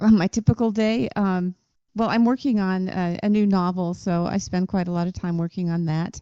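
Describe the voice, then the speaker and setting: A woman with a West Coast US accent speaks at a medium pitch and a moderate pace, with ordinary pitch variation and a dark, mellow tone, on a very clean recording with a silent background and a dry, close sound with no echo. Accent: General American (West Coast). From US West Coast, Southern California. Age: 60s. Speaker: author, songwriter and performer. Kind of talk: podcast interview. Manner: hesitant, many fillers.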